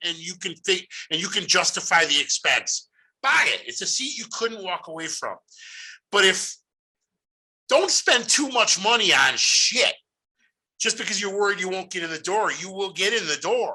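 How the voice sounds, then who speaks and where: A man speaks loudly at a moderate pace with a high pitch and a bright, sharp tone. His delivery is animated, with lively intonation. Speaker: podcast host. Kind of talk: casual monologue.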